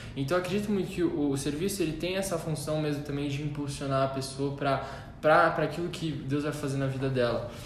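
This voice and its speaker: A man at a fairly quick pace, fairly even in intonation, over noticeable background noise. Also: fairly high pitch for a man. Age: 20s. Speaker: church volunteer leader and accounting student. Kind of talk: casual chat.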